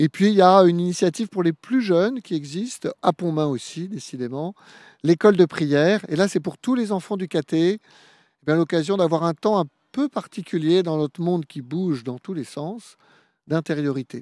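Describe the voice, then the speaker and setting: At a moderate pace, a man speaks at a high pitch with ordinary pitch variation, in a dry recording with no echo and a quiet background. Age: 50s. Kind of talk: radio interview. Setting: live radio broadcast at a youth event. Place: open country. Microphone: handheld.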